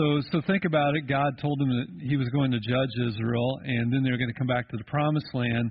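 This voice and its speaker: With light noise behind him, a man talks at a fairly quick pace with hardly any pauses and ordinary pitch variation. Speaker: pastor. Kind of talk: sermon. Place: church.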